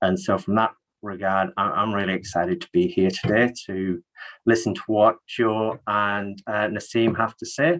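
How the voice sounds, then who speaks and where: A man with an English accent speaks at a fairly low pitch and a moderate pace, with lively intonation. The sound is dry and close with no echo. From northeast England. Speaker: health network manager. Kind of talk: webinar presentation.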